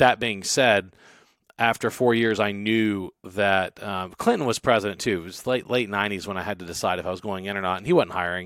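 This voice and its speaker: With an American accent, a man speaks at a fairly quick pace in a fairly low pitch and fairly even intonation, in a plain, everyday voice. The recording is very clean, with a silent background. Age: 40s. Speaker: entrepreneur and former city councilman. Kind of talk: casual interview chat.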